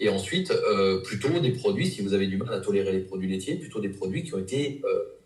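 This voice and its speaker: Over audible room echo, a man speaks at a moderate pace, somewhat breathy, with lively intonation. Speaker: nutrition practitioner. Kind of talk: interview. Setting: live video interview. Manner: hesitant, many fillers.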